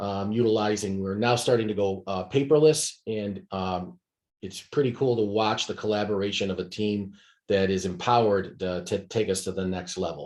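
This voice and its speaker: A man speaks with a fairly low pitch and an American accent, his intonation fairly even over a quiet background. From Rochester, New York, US. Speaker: business executive, company CEO. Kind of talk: business presentation over video call. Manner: fast; hesitant, many fillers.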